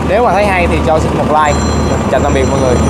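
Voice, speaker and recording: Loud noise fills the background while a man talks. There is no echo, and the sound stays dry. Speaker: machinery seller. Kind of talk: casual sales commentary. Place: street. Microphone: phone near.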